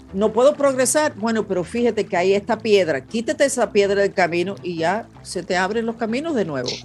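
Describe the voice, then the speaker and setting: Her pitch swings very widely around a medium level. The woman talks at a fairly quick pace with hardly any pauses. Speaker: podcast host and psychic. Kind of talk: psychic reading interview. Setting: video call. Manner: serious.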